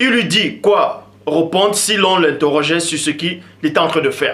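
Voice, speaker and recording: A man talks at a fairly slow pace in a raised, projected voice. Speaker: religious teacher. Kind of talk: lecture.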